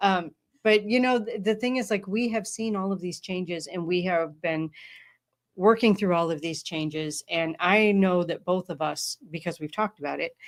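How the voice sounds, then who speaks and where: At a moderate pace, a woman with an unremarkable speaking voice talks at a medium pitch with ordinary variation, on a very clean recording with a silent background. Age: 50s. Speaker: podcast host. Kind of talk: casual chat.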